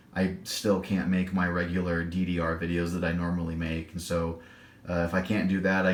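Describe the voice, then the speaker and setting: Audible room echo surrounds a man with a very deep, low pitch. He speaks at a moderate pace with monotone, flat intonation. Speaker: gaming tutorial YouTuber. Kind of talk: tutorial. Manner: halting, stammering.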